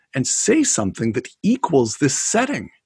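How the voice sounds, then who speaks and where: Vocal fry shows up in a man's fairly high voice. Very wide pitch swings run through his speech. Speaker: former speechwriter. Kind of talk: interview.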